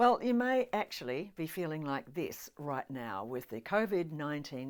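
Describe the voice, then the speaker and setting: With an Australian accent, a woman speaks at a moderate pace, her pitch swinging very widely. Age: 70s. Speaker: motivational speaker and voiceover artist. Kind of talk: webinar talk. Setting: home lounge room, filmed video. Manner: animated.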